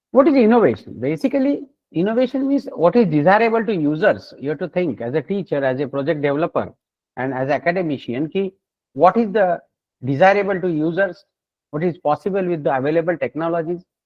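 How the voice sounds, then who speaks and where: With an Indian accent, a man speaks at a high pitch with very wide pitch swings. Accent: Indian (Marathi) English. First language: Marathi. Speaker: solar energy researcher and professor. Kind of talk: lecture. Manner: halting.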